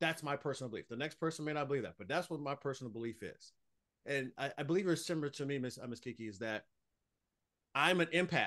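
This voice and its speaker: A man with a fairly high pitch talks very fast in a bright, sharp, animated tone. His pitch varies in an ordinary way against a quiet background. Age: 40s. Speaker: author and speaker. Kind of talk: interview.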